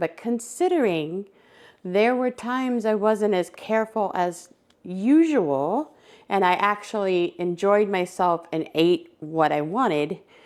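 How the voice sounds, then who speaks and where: A normal speaking voice from a woman, fairly slow and with ordinary pitch variation, on a very clean recording with a silent background. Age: 60s. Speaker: lifestyle vlogger. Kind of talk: casual chat. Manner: casual, with many fillers.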